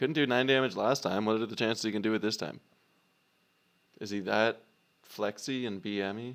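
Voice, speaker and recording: Pitched fairly low, a man talks at a fairly quick pace. Long, frequent pauses break up his speech. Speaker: gaming streamer. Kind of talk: live gameplay commentary. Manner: animated.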